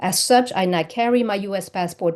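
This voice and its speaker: In a slight French accent, a woman speaks at a fairly quick pace with a dark, mellow tone, and the background stays quiet. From France. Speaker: lawyer testifying at public hearing. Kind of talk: public testimony. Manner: hesitant, many fillers. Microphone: unstable connection.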